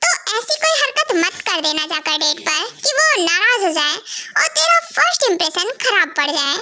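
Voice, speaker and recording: A woman's put-on character voice, squeaky and extremely high, with very wide pitch swings, a moderate pace and hardly any pauses. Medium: fan dub. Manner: bossy, teasing.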